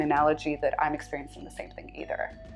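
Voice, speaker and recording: A woman talks with a Californian accent. Music plays in the background. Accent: Californian American English. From Southern California, USA. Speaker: scholar, journalist. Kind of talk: interview answer.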